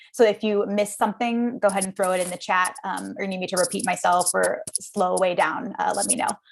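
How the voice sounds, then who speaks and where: Over noticeable background noise, a woman speaks at a medium pitch and a fairly quick pace, her intonation fairly even and with hardly any pauses. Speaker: philosophy graduate student and union organizer. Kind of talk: interview. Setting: livestream. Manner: fast.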